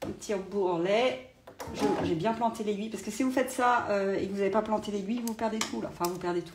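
A woman's fairly quick speech carries ordinary pitch variation while noticeable background noise runs underneath. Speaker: sewing instructor. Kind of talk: live sewing tutorial. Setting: livestream. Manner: hesitant, many fillers. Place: home room. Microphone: phone near.

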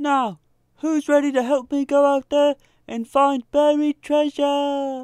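In a put-on character voice, the speaker holds a high, flat monotone at a fairly slow pace. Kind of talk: comedy skit. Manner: barking, commanding.

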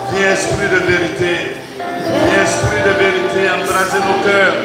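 A man speaks with audible room echo and loud music in the background. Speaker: priest leading prayer. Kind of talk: spontaneous public prayer. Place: church. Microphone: handheld.

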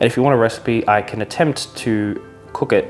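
A man talks with ordinary pitch variation while clear music plays in the background. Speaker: vlogger. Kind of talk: casual vlog chat. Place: kitchen. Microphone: lapel.

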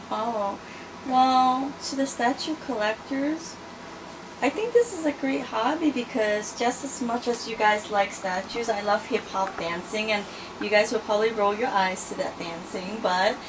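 Fairly slow speech from a woman with ordinary pitch movement, against noticeable background noise. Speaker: interviewee. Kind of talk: interview answer. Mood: friendly, good-humored. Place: home room. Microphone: phone near.

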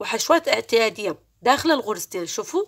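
A woman with an Iraqi accent and very wide pitch swings, on a very clean recording with a silent background. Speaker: crochet tutorial creator. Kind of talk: tutorial. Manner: raising her voice to be clear; slow, counting stitches step by step.

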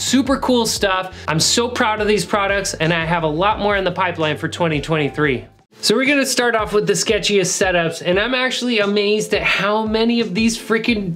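This man's voice sits high for a man, moving at a fairly quick pace with hardly any pauses and ordinary pitch variation. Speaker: fitness channel host. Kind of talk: casual vlog chat. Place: gym.

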